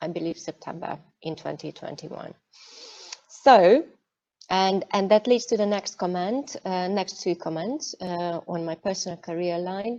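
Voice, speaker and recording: In a Hungarian accent, the speaker talks at a fairly slow pace with a dark, mellow tone and ordinary pitch variation. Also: woman. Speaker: cybersecurity executive. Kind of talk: online masterclass talk. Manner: hesitant, many fillers.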